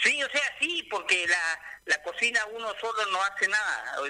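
Over noticeable background noise, a man with a high pitch projects a raised voice with lively intonation at a fairly slow pace. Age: 60s. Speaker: small business owner, cook. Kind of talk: radio interview.

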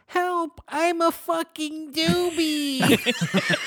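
A put-on character voice, squeaky and extremely high in pitch. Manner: pleading.

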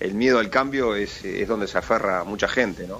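His tone is bright and sharp, and this man's fairly low voice moves with ordinary pitch variation. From Uruguay. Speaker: sports official. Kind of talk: interview.

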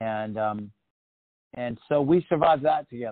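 Here a man speaks with an American accent. His pitch is medium. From Oregon, US. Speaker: rock musician. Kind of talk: interview.

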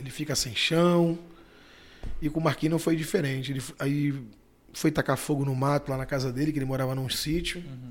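Fairly high male voice at a fairly quick pace, with fairly even intonation and long, frequent pauses. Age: 40s. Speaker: bar owner and natural gas vehicle businessman. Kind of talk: casual interview.

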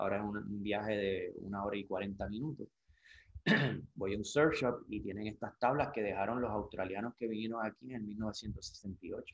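At a moderate pace, a man with a normal speaking voice keeps his pitch fairly low and varies it in an ordinary way. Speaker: surfer and surf brand sales representative. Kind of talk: interview. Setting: at his home.

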